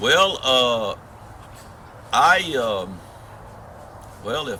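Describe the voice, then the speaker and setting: Lively intonation marks a man speaking in a Southern US accent, with audible room echo and noticeable background noise. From US South, south Georgia near Florida line. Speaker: long-distance hiker. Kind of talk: interview. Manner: halting.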